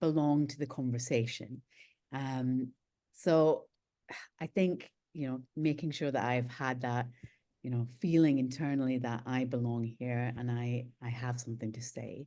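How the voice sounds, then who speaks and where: In a Scottish accent, a woman speaks at a fairly slow pace with a very deep, low pitch, a dark, mellow tone and fairly even intonation. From UK, studied in Scotland. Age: 40s. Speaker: nuclear policy expert, think tank director. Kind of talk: online panel interview. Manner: hesitant, many fillers.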